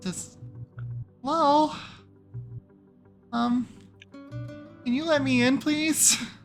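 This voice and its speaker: A put-on character voice with a fairly high pitch moves at a very slow pace, broken by long, frequent pauses. Faint music plays in the background. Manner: polite, pleading.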